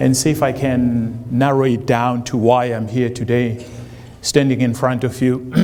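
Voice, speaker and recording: Speaking at a fairly slow pace with a slight South African accent, a man talks in a medium-pitched, flat monotone, with audible room echo and noticeable background noise. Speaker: college administrator, job candidate. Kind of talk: public forum speech. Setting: public forum with audience. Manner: halting, many fillers.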